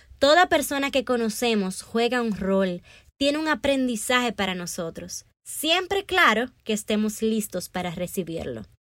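Her fairly high voice swings very widely in pitch as this woman speaks at a fairly slow pace. The recording is very clean, and the background is silent. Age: 20s. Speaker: podcast host and author. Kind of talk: scripted monologue.

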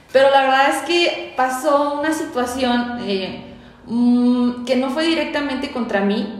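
Noticeable background noise and audible echo from the room surround a woman's voice. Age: 20s. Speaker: community manager. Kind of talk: casual chat.

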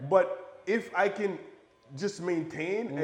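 A man speaks with an American accent and ordinary pitch variation. Audible room echo and noticeable background noise are present. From Buffalo, New York, US. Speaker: real estate developer and investor. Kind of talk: podcast interview. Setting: at his home.

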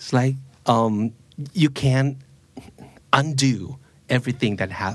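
A somewhat breathy man's voice with ordinary pitch variation. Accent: Thai. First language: Thai. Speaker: podcast host. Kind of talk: casual chat.

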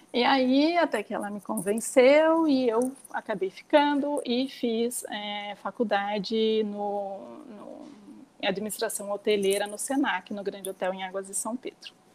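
A woman speaks at a fairly slow pace with a fairly high pitch, ordinary pitch variation and big swings in loudness, over noticeable background noise. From interior of São Paulo state, Brazil. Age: 40s. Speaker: nail salon owner and mother. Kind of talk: casual interview chat.

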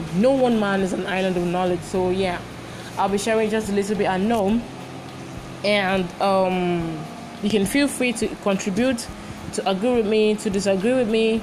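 A woman of medium pitch with a Nigerian accent, animated in tone at a moderate pace, over noticeable background noise. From Nigeria (Lagos). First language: Igbo. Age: 20s. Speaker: podcast host and university student. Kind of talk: casual podcast intro and monologue. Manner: chatty, animated, informal.

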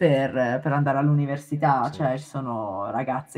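Speaking at a fairly quick pace, a woman uses a very deep, low pitch. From Italy, Milan. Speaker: animator. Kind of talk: casual chat. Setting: remote call.

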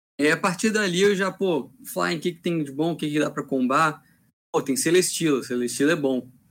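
Recorded very cleanly against a silent background, a man with a plain, everyday voice speaks at a moderate pace and a fairly high pitch with ordinary pitch variation. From Rio de Janeiro. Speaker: tournament organizer and judge. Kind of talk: casual chat.

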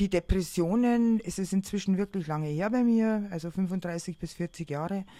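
A woman with a dark, mellow tone speaks at a medium pitch and moderate pace, with ordinary pitch variation. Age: 50s. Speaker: artist and teacher with bipolar disorder. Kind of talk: personal testimony in interview. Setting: on holiday together.

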